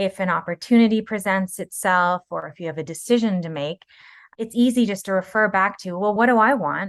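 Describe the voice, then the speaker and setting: A woman with a plain, everyday voice talks at a fairly quick pace, medium in pitch with ordinary variation and big swings in loudness. The sound is dry and close with no echo, over a quiet background. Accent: Canadian. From Canada, Kingston, Ontario. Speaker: voice actor and TV producer. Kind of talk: podcast interview.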